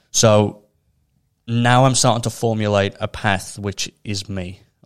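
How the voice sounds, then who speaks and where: A man with a Liverpool accent talks at a fairly low pitch in a monotone, flat intonation. The recording is very clean, with a silent background. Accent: Scouse (Liverpool). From Liverpool, England. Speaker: mental health initiative co-founder. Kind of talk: casual interview chat.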